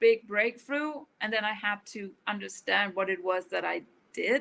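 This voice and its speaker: At a fairly slow pace, a woman speaks in a bright, sharp tone at a medium pitch with ordinary pitch variation. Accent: Danish. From rural Denmark. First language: Danish. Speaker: author. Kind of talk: interview. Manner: halting.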